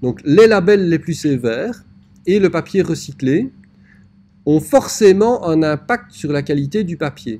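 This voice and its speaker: A man's fairly high voice, very slow with long, frequent pauses and lively intonation. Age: 40s. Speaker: typography teacher. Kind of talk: lecture. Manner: hesitant, frequent filler 'euh'.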